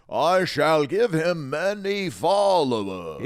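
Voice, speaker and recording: Using a put-on character voice, a man projects loudly at a fairly high pitch and a very slow pace. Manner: grandiose, mock-divine.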